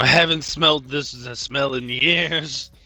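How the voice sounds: Fairly high in pitch, a man does a raspy, put-on character voice. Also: fairly slow pace.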